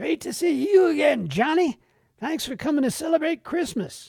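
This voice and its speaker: Someone speaks loudly in a put-on character voice. The pitch is high and the pace moderate. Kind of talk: festive, greeting. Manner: overly loud, cheerful.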